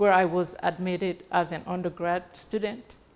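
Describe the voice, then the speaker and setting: A woman speaks over noticeable background noise. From abroad, non-English-speaking country. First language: not English. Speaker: real estate agent and entrepreneur. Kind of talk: speech at an event.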